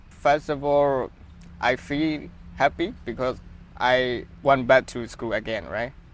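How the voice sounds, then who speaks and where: Over noticeable background noise, a man with a medium pitch speaks at a very slow pace with ordinary pitch variation. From Myanmar. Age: 20s. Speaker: university student. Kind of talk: interview.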